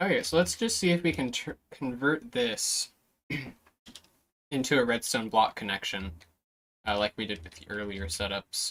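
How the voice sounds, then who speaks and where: The speaker is quiet and talks at a moderate pace, with long, frequent pauses. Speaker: gaming streamer. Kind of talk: live stream commentary. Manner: casual.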